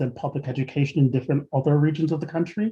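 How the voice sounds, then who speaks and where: Somewhat breathy, a man speaks at a fairly high pitch with ordinary pitch variation. His tone is dark and mellow. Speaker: webinar host. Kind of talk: moderated panel discussion. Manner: fast.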